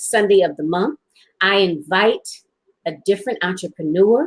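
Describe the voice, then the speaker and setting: In a normal speaking voice, a woman at a medium pitch talks at a moderate pace, the sound dry and close with no echo. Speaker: podcast host. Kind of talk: casual talk show hosting. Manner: upbeat, welcoming.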